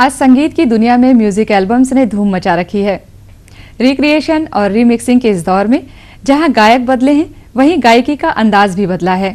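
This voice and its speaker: Her pitch is high for a woman. She speaks with lively intonation. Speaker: anchor. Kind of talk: award show host narration.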